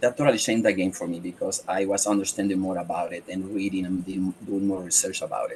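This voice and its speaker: Against noticeable background noise, a man with a very deep, low pitch talks at a very fast pace in a monotone, flat intonation, with hardly any pauses. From Mexico. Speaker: podcast guest. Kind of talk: interview conversation.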